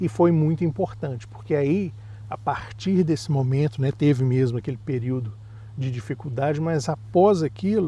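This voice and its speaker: A man with a medium pitch talks at a moderate pace with lively intonation, over noticeable background noise. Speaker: parent vlogger. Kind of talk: casual chat.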